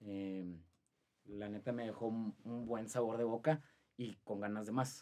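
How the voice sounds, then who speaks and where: Over a quiet background, a man speaks at a fairly slow pace with long, frequent pauses, fairly even intonation and a dark, mellow tone. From Saltillo, Mexico; Mexico. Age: 20s. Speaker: marathon runner; podcast guest. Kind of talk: interview; interview answer. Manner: halting. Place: studio. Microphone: studio mic.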